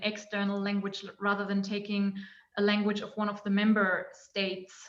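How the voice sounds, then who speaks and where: A woman talks with a non-native accent. Her pitch is medium and her pace moderate. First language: not English. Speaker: anthropologist. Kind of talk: academic panel discussion question. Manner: halting, many fillers.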